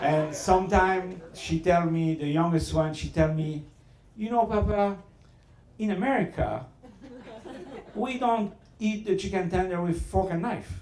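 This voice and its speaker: Speaking with a French accent, a man with a high pitch moves at a fairly slow pace with long, frequent pauses and ordinary pitch variation, amid noticeable background noise and audible room echo. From Southern France. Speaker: restaurateur. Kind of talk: after-dinner speech with storytelling. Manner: halting.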